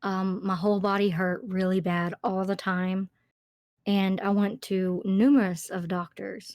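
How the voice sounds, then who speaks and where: On a very clean recording with a silent background, a woman speaks fairly slowly in a medium pitch with monotone, flat intonation. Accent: Alabama. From Alabama, US South. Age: 30s. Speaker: YouTube narrator. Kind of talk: casual interview chat. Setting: call. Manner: halting, many fillers.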